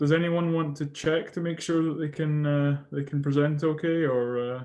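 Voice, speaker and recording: Someone speaks with a Scottish accent at a moderate pace. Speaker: session chair at academic conference. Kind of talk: moderating an online conference session. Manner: hesitant, many fillers.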